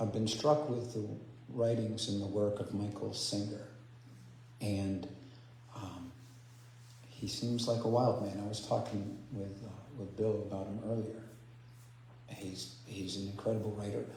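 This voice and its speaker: Soft-spoken and at a fairly slow pace, a man talks with ordinary pitch variation and long, frequent pauses, with audible room echo and noticeable background noise. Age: 60s. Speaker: spiritual speaker. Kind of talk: sermon. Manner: halting. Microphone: too quiet.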